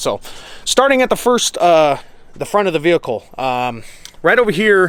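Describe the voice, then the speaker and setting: A man speaks with very wide pitch swings. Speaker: off-road vehicle YouTuber. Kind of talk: vehicle walkaround review. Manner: fast.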